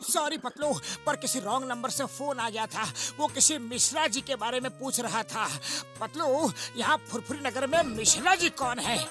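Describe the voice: A cartoonish character voice comes through at a fairly high pitch. It moves at a moderate pace while clear music plays in the background.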